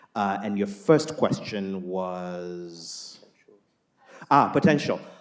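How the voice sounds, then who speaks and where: Audible room echo surrounds a man speaking at a very slow pace and a fairly low pitch, with lively intonation. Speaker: climate investment CEO. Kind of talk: panel discussion answer. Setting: stage with audience.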